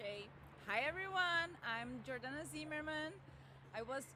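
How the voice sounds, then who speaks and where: A woman's high-pitched, raised and projected voice with a Portuguese accent. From southern Brazil, Rio Grande do Sul. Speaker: veterinarian and PhD student. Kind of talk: podcast interview. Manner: halting, with many fillers.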